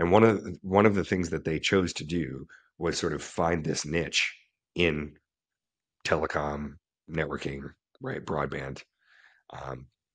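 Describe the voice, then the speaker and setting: A man speaks fairly slowly with a very deep, low pitch and vocal fry. Long, frequent pauses break his speech against a quiet background. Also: ordinary pitch variation. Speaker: podcast host. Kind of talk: casual interview chat. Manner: halting, with fillers.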